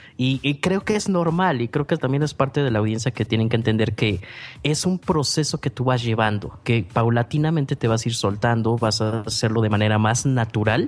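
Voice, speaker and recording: Music plays in the background as a man speaks. His loudness stays very even, with ordinary pitch variation. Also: medium pitch for a man, moderate pace, hardly any pauses. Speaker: podcaster and filmmaker. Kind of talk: interview. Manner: clear diction; animated.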